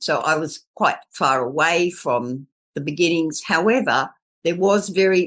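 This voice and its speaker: A woman with an Australian accent, a fairly low pitch and lively intonation, at a fairly slow pace. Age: 70s. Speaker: permaculture elder. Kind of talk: interview.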